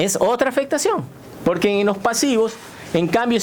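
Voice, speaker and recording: Over noticeable background noise, a man with a high voice talks at a fairly slow pace with lively intonation. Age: 60s. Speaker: retired navy admiral. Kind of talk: radio interview. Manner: halting.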